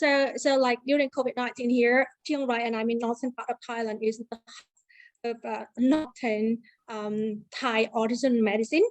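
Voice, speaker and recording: A woman speaks at a high pitch and moderate pace with hardly any pauses. Her intonation is fairly even, and the sound is dry and close with no echo. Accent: Vietnamese. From Vietnam. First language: Vietnamese. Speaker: university lecturer. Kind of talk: conference presentation. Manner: halting.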